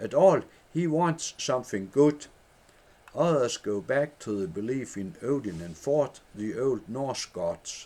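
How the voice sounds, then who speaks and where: A man with a medium-pitched voice speaks at a fairly slow pace, his pitch swinging very widely. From Denmark. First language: Danish. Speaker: former headmaster. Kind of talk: reading own book aloud.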